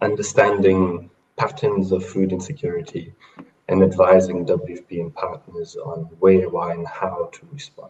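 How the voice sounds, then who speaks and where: A man with a very deep, low pitch speaks somewhat breathily at a moderate pace, his loudness swinging widely. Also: ordinary pitch variation. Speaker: food security analyst at aid organization. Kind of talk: online panel presentation. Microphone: poor connection quality.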